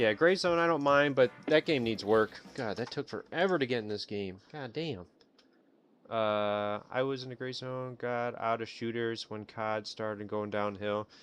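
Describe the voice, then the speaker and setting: Over a quiet background, a man with an American accent speaks at a moderate pace, medium in pitch with ordinary pitch variation. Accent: Chicago accent, sometimes comes out. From Illinois, Chicago area. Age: 30s. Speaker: gaming streamer. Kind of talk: casual live stream chat. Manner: casual, rambling with fillers.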